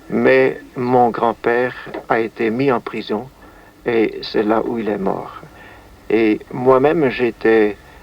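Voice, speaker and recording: Against noticeable background noise, a man talks at a very slow pace. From Netherlands. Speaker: musician and composer; witness of wartime events. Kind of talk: interview answer.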